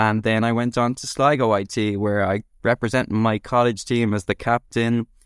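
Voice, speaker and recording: In a Dublin accent, a man talks at a moderate pace and medium pitch with hardly any pauses, on a very clean recording with a silent background and a dry, close sound with no echo. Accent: Dublin Irish. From Dublin, Ireland. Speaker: company founder and former footballer. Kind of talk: interview.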